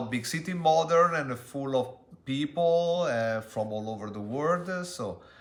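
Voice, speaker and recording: With an Italian accent, a man speaks at a moderate pace, his pitch swinging very widely. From Italy. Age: 40s. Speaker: interviewee, language tutor. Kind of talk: interview. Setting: street interview. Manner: halting.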